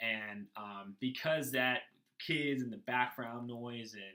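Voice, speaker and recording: A man's medium-pitched voice, bright and sharp in tone, with fairly even intonation and a very slow pace. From Saskatchewan, Canada. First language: sign language. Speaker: student. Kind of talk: class presentation. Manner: halting, many fillers.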